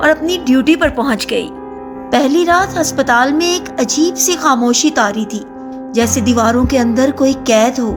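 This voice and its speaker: A woman's high-pitched voice with music in the background. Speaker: voice-over narrator. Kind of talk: horror story narration.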